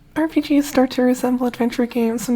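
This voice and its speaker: A woman mumbles at a fairly quick pace. Her voice is fairly high in pitch. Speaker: video game commentator. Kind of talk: explainer narration. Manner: mumbling.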